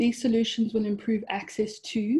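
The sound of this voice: A woman speaks at a moderate pace in a dark, mellow tone with a slightly husky edge and little pitch movement.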